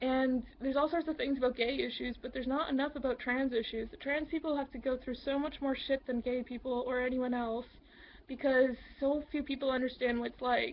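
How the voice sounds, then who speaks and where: Fairly level intonation carries speech that runs at a fairly quick clip. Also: woman, high pitch for a woman. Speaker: advocate for transgender people. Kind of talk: casual talk to camera.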